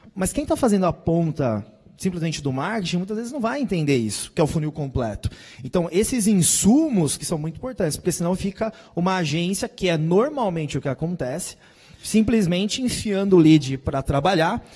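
Against a quiet background, a dark, mellow voice moves at a fairly quick pace with lively intonation. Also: man. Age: 30s. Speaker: startup founder, sales panelist; panelist. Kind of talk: panel debate on stage. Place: stage. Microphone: handheld.

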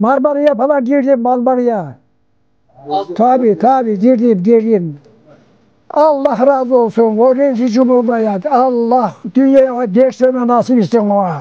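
The speech comes at a fairly slow pace with ordinary pitch variation and very even loudness, in a dry sound with no echo. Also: man, extremely high pitch for a man. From Sinop, Turkey. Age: 80s+. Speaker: villager. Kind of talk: interview answer. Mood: earnest, praising, emphatic. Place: open country.

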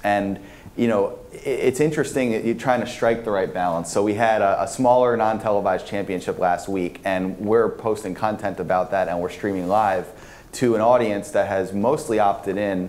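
A man talks at a moderate pace in a fairly low pitch, with ordinary pitch variation. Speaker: conference panelist. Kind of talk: panel discussion answer. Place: hall.

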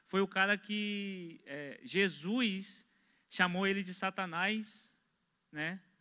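A raised, projected voice with a bright, sharp tone comes at a very slow pace over a quiet background. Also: man, high pitch for a man, fairly even intonation. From Brazil. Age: 20s. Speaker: church member, construction worker; pastor, panel member. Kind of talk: religious discussion. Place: studio. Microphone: handheld.

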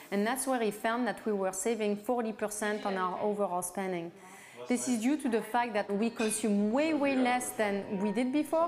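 With noticeable background noise, a woman speaks at a moderate pace with ordinary pitch variation and very even loudness. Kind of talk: interview answer. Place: home room.

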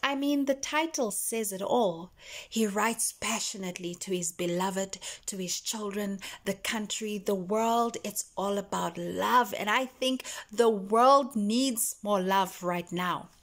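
An animated, warm tone at a fairly slow pace, with ordinary pitch variation and a quiet background. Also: woman. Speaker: poetry vlogger. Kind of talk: poetry reading, spoken-word delivery of love poems after a chatty intro. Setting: video. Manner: animated, warm, gushing and expressive in the chatty parts; slower, tender and intimate with pauses when reading the poems. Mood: earnest, emotional. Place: home room. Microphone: phone near.

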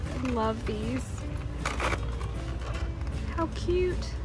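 Clear music plays behind a woman whose voice shows ordinary pitch variation in a dry sound with no echo. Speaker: vlogger. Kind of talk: casual vlog chat. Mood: cheerful, admiring. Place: shop. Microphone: phone near.

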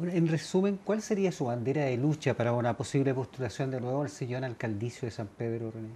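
Speaking at a very fast pace with hardly any pauses, a man uses lively intonation at a medium pitch. His tone is dark, mellow and somewhat breathy, with light background noise. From Chile. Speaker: TV news host. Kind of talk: TV interview. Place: studio.

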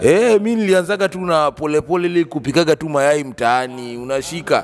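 A man at a moderate pace with ordinary pitch variation, music in the background. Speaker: guest. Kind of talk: interview answer. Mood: jovial storytelling. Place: studio. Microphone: handheld.

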